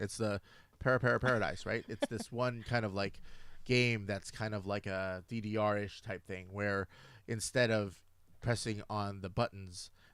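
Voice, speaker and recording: In an ordinary speaking voice, a man talks at a moderate pace and fairly low pitch with fairly even intonation, on a very clean recording with a silent background. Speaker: gaming talk radio co-host. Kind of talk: casual talk radio conversation about games.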